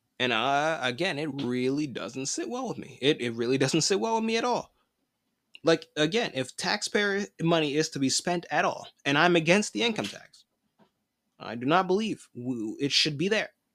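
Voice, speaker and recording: Delivered at a moderate pace, the speech comes through on a very clean recording with a silent background. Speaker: podcast host. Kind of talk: angry political rant; opinionated news commentary. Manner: indignant, emphatic, forceful; conversational, laughs often, repeats himself.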